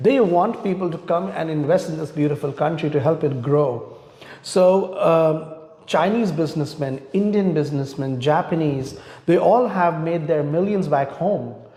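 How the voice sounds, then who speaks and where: A man's fairly high voice moves at a moderate speed with ordinary pitch variation, while noticeable background noise and audible room echo fill the recording. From India. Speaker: immigration lawyer. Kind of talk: interview. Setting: live online talk.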